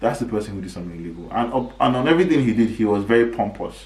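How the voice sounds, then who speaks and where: Speaking at a very fast pace, a man has a medium pitch and a somewhat breathy sound. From Nigeria. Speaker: podcast host. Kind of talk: casual commentary monologue. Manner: animated.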